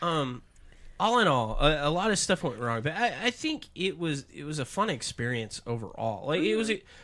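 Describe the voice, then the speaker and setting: A fairly high-pitched man's voice, bright and sharp with vocal fry, making very wide pitch swings at a moderate pace on a very clean recording with a silent background. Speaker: paranormal investigator. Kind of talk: casual podcast conversation.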